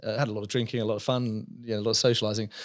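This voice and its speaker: This man has an English accent, a medium pitch, and a monotone, flat intonation. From England, just outside London. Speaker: business founder and CEO. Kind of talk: casual interview.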